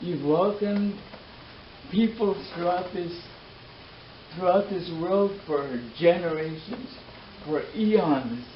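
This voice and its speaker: Amid noticeable background noise and audible room echo, a man with a high voice speaks at a very slow pace with long, frequent pauses and ordinary pitch variation. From Canada (First Nations). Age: 60s. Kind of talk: public talk. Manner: halting; impassioned.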